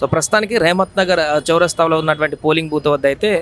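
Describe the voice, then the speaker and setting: A man with a fairly high voice talks amid noticeable background noise. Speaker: news reporter. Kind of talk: live news reporting from a polling station.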